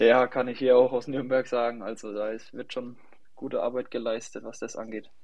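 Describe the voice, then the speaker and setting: A man speaks at a medium pitch in a monotone, flat intonation. His loudness swings widely from moment to moment. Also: moderate pace. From Germany, Lower Franconia (near Schweinfurt). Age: 20s. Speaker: young professional football goalkeeper. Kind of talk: podcast interview.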